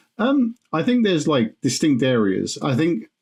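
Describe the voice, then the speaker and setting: With a British accent, this dark, mellow voice moves at a moderate pace with fairly even intonation. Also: man. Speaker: podcast host. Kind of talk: podcast interview.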